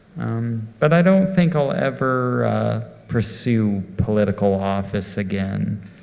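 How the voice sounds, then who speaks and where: A man with an American accent and fairly low pitch speaks at a very slow pace with lively intonation, amid noticeable background noise and audible room echo. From Texas, Amarillo (Panhandle). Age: 30s. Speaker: instrumental guitarist. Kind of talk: on-stage Q&A with audience. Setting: stage with live audience. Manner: hesitant, many ums.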